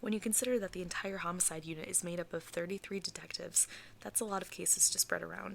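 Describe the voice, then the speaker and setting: A soft-spoken woman's fairly low voice with vocal fry. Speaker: ASMR creator. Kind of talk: true crime storytelling.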